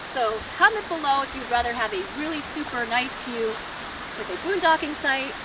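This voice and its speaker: The talking goes at a moderate speed. Background noise is noticeable throughout. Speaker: RV travel vlogger. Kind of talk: campground review vlog. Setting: outdoors.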